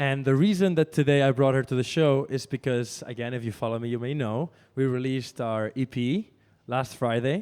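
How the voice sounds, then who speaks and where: A man at a fairly quick pace, with medium pitch and ordinary pitch variation. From Spain. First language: Spanish. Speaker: radio host and DJ. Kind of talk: casual chat.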